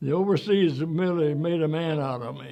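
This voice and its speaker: A man with an American accent, fairly high pitch and ordinary pitch variation, over music in the background. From Pennsylvania, Chambersburg. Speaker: war veteran. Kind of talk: interview.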